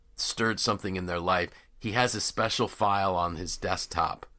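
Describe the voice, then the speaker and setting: A man's bright, sharp tone at a moderate pace, on a very clean recording with a silent background. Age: 60s. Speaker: podcast host and leadership coach. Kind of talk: casual interview conversation. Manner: halting, many fillers and restarts.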